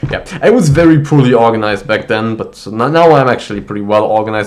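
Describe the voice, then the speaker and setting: Talking at a fairly quick pace, a man with a German accent has a fairly low pitch and ordinary pitch variation. Noticeable background noise sits behind him. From Germany. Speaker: university student vlogger. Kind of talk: casual vlog monologue. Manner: casual with many fillers and false starts.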